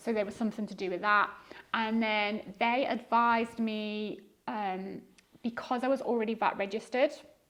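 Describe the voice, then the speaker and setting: A woman speaks in a flat monotone, her pitch fairly high. She keeps a moderate pace broken by long, frequent pauses. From Liverpool, England. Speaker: eBay reseller. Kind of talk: podcast interview.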